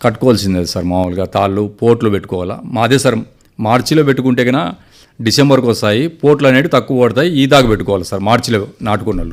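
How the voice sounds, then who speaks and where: A man with an unremarkable speaking voice, medium in pitch, with ordinary pitch variation. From Anantapur district, Andhra Pradesh (Rayalaseema). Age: 50s. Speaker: farmer. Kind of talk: radio interview.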